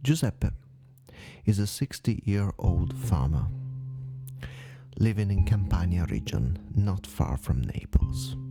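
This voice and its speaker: With music in the background, a man with a very deep, low pitch speaks at a very slow pace, using very wide pitch swings and long, frequent pauses. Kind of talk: paranormal case narration. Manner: soft-spoken, slow.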